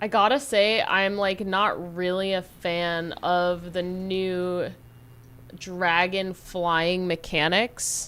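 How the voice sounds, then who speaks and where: This woman has a medium pitch and an American accent. Her pace is very slow. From California. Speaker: live streamer. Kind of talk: casual gaming livestream commentary. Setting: live stream. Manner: animated, exclamatory.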